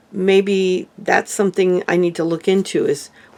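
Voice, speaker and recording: A woman's medium-pitched voice, an ordinary speaking voice, with fairly even intonation at a fairly slow pace. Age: 60s. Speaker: lifestyle vlogger. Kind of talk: casual vlog monologue.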